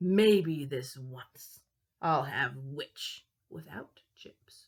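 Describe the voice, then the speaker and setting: A woman performs a put-on character voice at a very deep, low pitch. She speaks at a very slow pace. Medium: read story.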